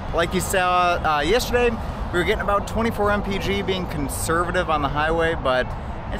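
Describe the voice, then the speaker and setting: Loud background noise sits behind a man whose voice is dry, with no echo. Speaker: car vlogger. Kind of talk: casual vlog chat. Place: street. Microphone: phone near.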